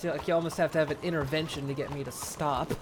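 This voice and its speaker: Noticeable background noise runs under the speech. The delivery is fairly quick. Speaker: gaming streamer. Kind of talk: casual gameplay commentary.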